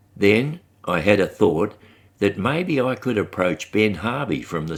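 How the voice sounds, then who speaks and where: Lively intonation from a man with an Australian accent at a fairly slow pace, on a very clean recording with a silent background. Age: 80s+. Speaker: podcast host. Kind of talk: personal monologue.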